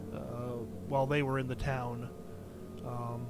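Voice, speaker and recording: A man speaks quietly at a moderate pace in a monotone, flat delivery. Room echo is audible. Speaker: game streamer. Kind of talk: live gameplay commentary. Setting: live stream from home. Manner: quiet voice; hesitant, many fillers. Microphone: cheap mic, boosted input with hissing.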